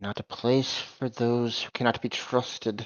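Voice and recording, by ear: A man's put-on character voice, medium in pitch, with monotone, flat intonation. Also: moderate pace.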